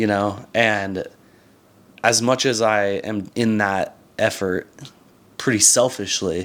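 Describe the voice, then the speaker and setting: In a very clean recording with a silent background, a man talks very slowly at a fairly low pitch. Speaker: content creator. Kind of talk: casual vlog monologue. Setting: alone talking to camera. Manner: halting, stumbling over words.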